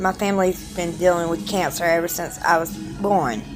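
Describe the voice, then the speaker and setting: With a South Carolina accent, a woman speaks at a fairly low pitch and a moderate pace. Her pitch varies in an ordinary way, and music plays behind her. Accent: Southern US (South Carolina). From Charleston, South Carolina. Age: 30s. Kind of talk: casual personal video diary.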